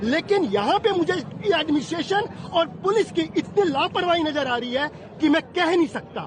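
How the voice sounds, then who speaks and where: Over crowd noise in the background, a man speaks with lively intonation at an extremely high pitch. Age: 60s. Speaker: pilgrim interviewed at a festival. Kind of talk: angry complaint to reporter. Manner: halting.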